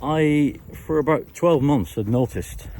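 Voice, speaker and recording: A man speaks with a British accent. Noticeable background noise is audible behind him. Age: 60s. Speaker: retired YouTuber. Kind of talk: casual Q&A monologue. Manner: halting, many fillers and repetitions.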